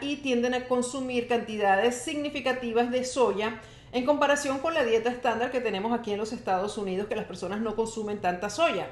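A woman with a high-pitched voice speaks at a moderate pace in an animated tone, using ordinary pitch variation. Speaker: health podcast host and wellness coach. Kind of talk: live-streamed solo podcast talk. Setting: live stream.

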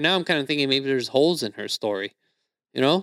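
A man's fairly high-pitched voice comes through dry and close with no echo, in a very clean recording with a silent background. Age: 20s. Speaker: comedian. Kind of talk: casual chat. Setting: studio.

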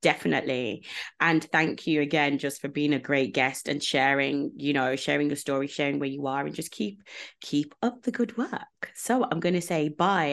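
A woman's very deep, low-pitched voice at a fairly quick pace. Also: quiet background. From UK, Jamaican community. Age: 30s. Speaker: podcast host, consultant. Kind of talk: casual interview chat.

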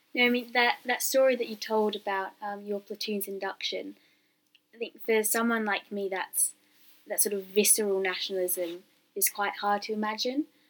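A woman talks in an unremarkable speaking voice with fairly high pitch. Her intonation is fairly even and her pace moderate. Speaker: student podcast host. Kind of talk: interview.

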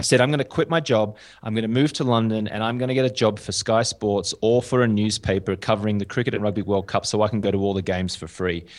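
In an Australian accent, a man with a fairly low pitch talks at a very fast pace. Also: ordinary pitch variation. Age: 30s. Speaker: journalist and TV presenter. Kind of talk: casual interview chat. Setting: video call.

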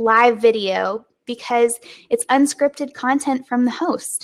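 The speaker has an American accent and talks at a very slow pace with fairly even intonation. The recording is very clean, with a silent background. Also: woman. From US South. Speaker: webinar and business podcast host. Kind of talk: casual educational talk, live stream. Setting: live stream recording. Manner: conversational, relaxed, unscripted.

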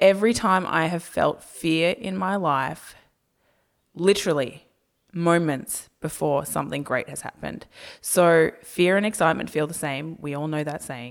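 A woman with an Australian accent talks at a moderate pace and fairly low pitch. Her loudness swings widely. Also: ordinary pitch variation. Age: 20s. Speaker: YouTuber. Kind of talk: casual chat.

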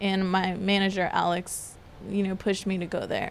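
Here is a woman with a plain, everyday voice. She speaks at a moderate pace in a medium pitch. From Georgia, US (Decatur). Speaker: pastry chef. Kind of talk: casual interview. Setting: hotel lounge.

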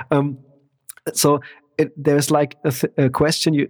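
A man with a German accent and a fairly high pitch, in a dry, close sound with no echo. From Germany, countryside. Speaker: percussionist. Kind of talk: casual interview chat. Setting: remote call.

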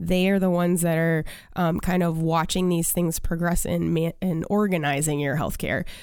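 A woman speaks with a fairly low pitch and a flat, monotone delivery at very even loudness, with audible echo from the room. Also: moderate pace. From US Northeast, Maine. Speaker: functional medicine practitioner. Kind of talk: interview.

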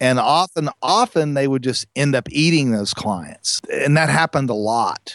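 A plain, everyday voice of a man at a fairly high pitch, with ordinary pitch variation, very even loudness, a moderate pace, hardly any pauses and a dry, close sound with no echo. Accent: American. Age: 50s. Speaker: lighting parts company co-founder. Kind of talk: interview.

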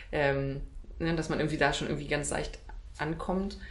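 The speech moves at a moderate pace. Audible room echo and noticeable background noise fill the recording. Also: woman. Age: 30s. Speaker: wedding speaker and cabaret artist. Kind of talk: casual interview.

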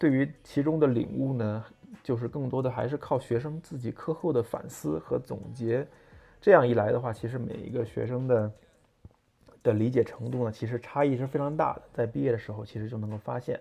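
Speaking at a fairly quick pace, a man uses a medium pitch with ordinary variation, his tone dark and mellow and somewhat breathy. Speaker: podcast host, car designer. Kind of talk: solo monologue on design. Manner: hesitant, many fillers.

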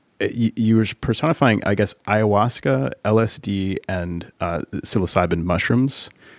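Fairly slow and with hardly any pauses, a man talks in a normal speaking voice with a fairly low pitch and lively intonation. The recording is very clean, with a silent background. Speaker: podcast host. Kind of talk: podcast interview.

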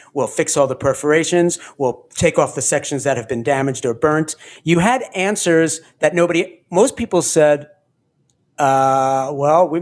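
A man with an ordinary speaking voice at a fairly high pitch, moderate in pace, with ordinary pitch variation. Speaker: podcast host. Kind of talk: casual chat.

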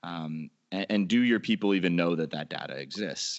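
A man's very deep, low pitch with an American accent. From Florida (Orlando). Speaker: sports fan-experience consultant. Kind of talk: podcast interview.

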